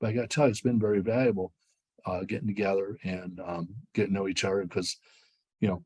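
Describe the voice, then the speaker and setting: A man with a Midwestern American accent, fairly low in pitch, at a very fast pace with ordinary pitch variation. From US Midwest, western Ohio. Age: 60s. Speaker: sports streaming executive. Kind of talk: interview. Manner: animated.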